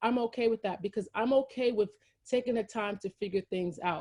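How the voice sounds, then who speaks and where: A woman with a New York accent talks at a medium pitch and fairly quick pace, with ordinary pitch variation. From Brooklyn, New York. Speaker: champagne brand founder. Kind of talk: interview. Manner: fast.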